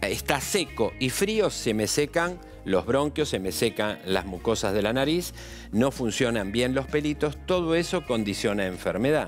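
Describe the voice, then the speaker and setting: Speech comes at a fairly slow pace over faint music in the background. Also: man. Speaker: TV guest. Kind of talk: explanatory interview answer. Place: studio.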